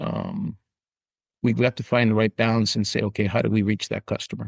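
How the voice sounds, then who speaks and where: A man with a Canadian accent at a fairly quick pace, fairly low pitched with vocal fry and fairly even intonation, in a dry, close sound with no echo and a quiet background. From Canada, Niagara Falls, Ontario. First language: Italian. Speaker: insurance company president. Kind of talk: podcast interview.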